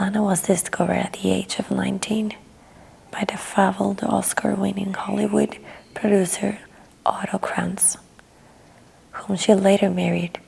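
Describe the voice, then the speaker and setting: Soft-spoken and calm, a woman talks at a moderate pace with long, frequent pauses over noticeable background noise. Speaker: ASMR artist. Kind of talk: audiobook reading. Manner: soft-spoken, calm.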